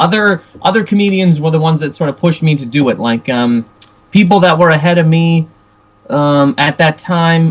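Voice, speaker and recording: With ordinary pitch variation, a man talks in a fairly high voice. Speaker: stand-up comedian. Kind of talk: casual chat. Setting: video podcast interview. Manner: fast; loud.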